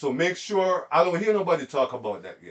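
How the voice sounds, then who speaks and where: An animated tone from a man. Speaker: sports commentary host. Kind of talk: casual monologue.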